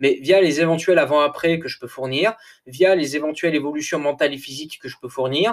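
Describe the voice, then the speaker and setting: This man's voice sits fairly high in pitch with ordinary pitch variation. His tone is energetic. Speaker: coach and podcaster. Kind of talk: solo monologue podcast. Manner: hesitant, many fillers and repetitions.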